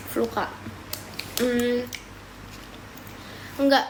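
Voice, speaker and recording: Audible room echo together with noticeable background noise. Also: woman. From Papua, Indonesia (Timika). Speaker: live streamer. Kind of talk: casual live stream chat. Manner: casual, mixing Indonesian and English.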